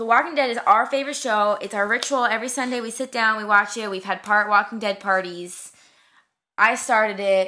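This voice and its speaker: A bright, sharp tone at a fairly quick pace, with fairly even intonation. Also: woman, fairly high pitch for a woman. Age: 20s. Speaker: podcast host. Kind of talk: casual chat.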